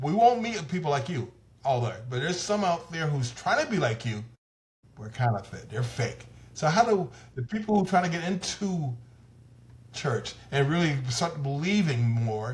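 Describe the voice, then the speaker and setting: A man with an American accent, somewhat breathy and fairly high-pitched, with very wide pitch swings at a moderate pace. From US South. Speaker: talk show host. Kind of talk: interview.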